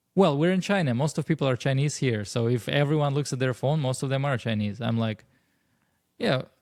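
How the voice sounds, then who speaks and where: A man with a Russian accent, medium-pitched and fairly quick, with ordinary pitch variation, on a very clean recording with a silent background. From Russia (Moscow). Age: 30s. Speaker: stand-up comedian. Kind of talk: casual chat.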